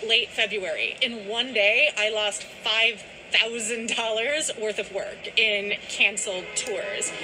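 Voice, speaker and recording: Over noticeable background noise, a woman with a high-pitched voice speaks in an enthusiastic tone. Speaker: tour guide. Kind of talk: on-location tour-guide history narration mixed with news interview. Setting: outdoors at a historic site. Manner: enthusiastic, storytelling guide cadence; earnest, articulate, polished actress delivery.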